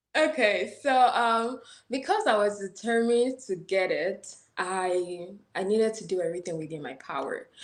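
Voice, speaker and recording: A woman with an American accent talks at a moderate pace, her medium-pitched voice showing lively intonation and big swings in loudness. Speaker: international student. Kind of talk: interview.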